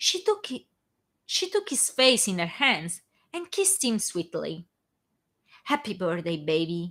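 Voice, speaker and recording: With an Italian accent, a woman speaks with long, frequent pauses. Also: fairly slow pace. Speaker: fan fiction author reading her own work. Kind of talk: casual chat; reading aloud. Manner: halting, stumbles on words.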